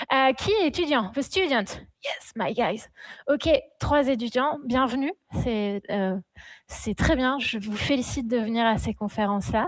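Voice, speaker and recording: In a very clean recording with a silent background, a high-pitched woman speaks very slowly with lively intonation and long, frequent pauses. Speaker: community event organizer. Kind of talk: event introduction. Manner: hesitant, many fillers; switches between French and English.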